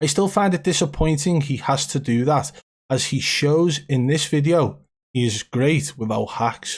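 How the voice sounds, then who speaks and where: Somewhat breathy, a man with a fairly high pitch speaks at a fairly slow pace with ordinary pitch variation on a very clean recording with a silent background. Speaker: gaming streamer. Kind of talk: live stream commentary. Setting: live stream.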